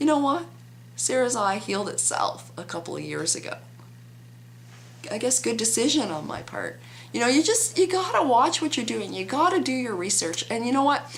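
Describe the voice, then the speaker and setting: Moderate-paced speech from a woman, with noticeable background noise and audible room echo. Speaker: vlogger. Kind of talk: opinion vlog.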